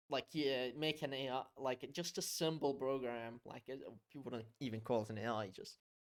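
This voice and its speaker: With an unremarkable speaking voice and ordinary pitch variation, a man talks at a fairly slow pace. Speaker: podcast host. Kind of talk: casual chat.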